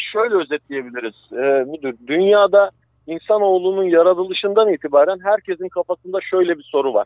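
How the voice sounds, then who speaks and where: A fairly quick-paced man's voice, high in pitch, with ordinary pitch variation and hardly any pauses. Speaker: science segment guest. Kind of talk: lecture; casual chat. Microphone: connection dropped.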